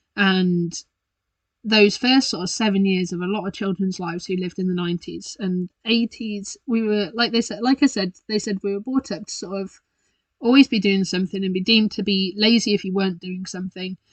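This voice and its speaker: This woman has a medium pitch and a somewhat breathy voice. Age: 30s. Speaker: podcast host, children's mindfulness teacher. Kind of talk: casual solo podcast talk. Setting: recording at home in bedroom. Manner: hesitant, filler-heavy.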